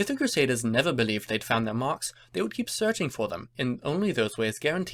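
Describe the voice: Just plain reading aloud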